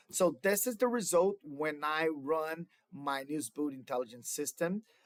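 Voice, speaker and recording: A man with a Brazilian Portuguese accent speaks at a fairly slow pace. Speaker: student. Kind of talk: class project presentation. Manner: halting, with fillers.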